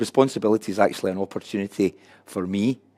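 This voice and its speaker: A man with a Glasgow accent speaks at a fairly quick pace in a fairly low voice, his intonation fairly even and the sound dry and close with no echo. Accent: Scottish (Glasgow). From Scotland, Glasgow. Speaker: addiction recovery coordinator and speaker. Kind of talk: conference presentation. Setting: room with live and online audience.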